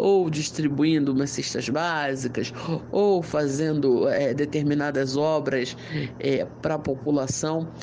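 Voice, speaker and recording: Amid noticeable background noise and audible room echo, a man speaks at a very slow pace with fairly even intonation. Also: fairly high pitch for a man. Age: 30s. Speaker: interviewee, voter. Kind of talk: interview answers.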